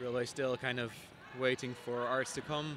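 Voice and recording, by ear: Speaking at a moderate pace, a man has a medium pitch with little movement and a fairly bright tone.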